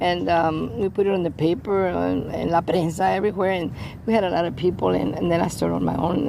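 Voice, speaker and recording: A woman with an American accent speaks very fast amid noticeable background noise. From San Antonio, Texas (west side). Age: 70s. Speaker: flamenco dancer and teacher. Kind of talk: interview. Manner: halting, repeats words.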